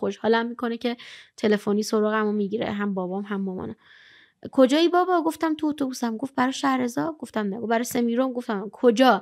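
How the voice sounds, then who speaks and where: A woman's animated, very fast speech against a quiet background. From Iran. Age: 20s. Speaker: blind poet and traveler; podcast guest. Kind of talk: interview storytelling. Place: studio. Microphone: studio mic.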